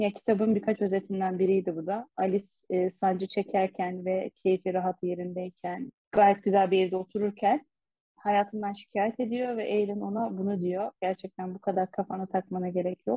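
The voice belongs to a woman with a medium pitch. Her intonation is fairly even. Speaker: podcast co-host. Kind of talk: casual book discussion. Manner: fast.

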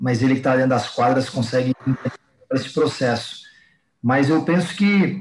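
A man with a fairly high pitch sounds somewhat breathy, showing ordinary pitch variation. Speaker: fitness coach. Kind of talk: casual interview chat.

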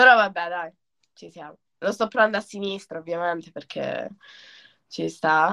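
The tone is bright and sharp, with big swings in loudness and ordinary pitch variation. The pace is moderate, broken by long, frequent pauses. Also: woman, medium pitch for a woman. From Italy, Calabria (Crotone). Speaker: kitesurf athlete. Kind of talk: casual chat.

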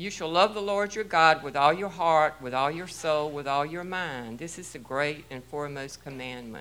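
The voice belongs to a woman. It sits very deep and low in pitch. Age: 60s. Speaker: church member giving testimony. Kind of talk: testimony. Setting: church. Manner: loud.

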